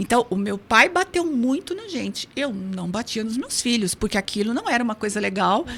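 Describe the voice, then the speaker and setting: A woman speaks at a moderate pace in a fairly high voice with very wide pitch swings, over noticeable background noise. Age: 60s. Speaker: hypnotherapist. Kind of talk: interview.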